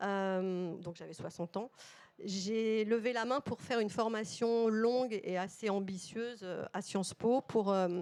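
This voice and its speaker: Pitch varies in an ordinary way. The recording is very clean, with a silent background. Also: woman. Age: 60s. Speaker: corporate communications director. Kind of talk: panel talk. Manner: hesitant, many fillers.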